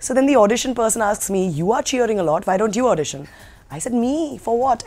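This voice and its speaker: Very wide pitch swings mark a woman talking at a very fast pace. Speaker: actress interviewee. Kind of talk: interview answer. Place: hall.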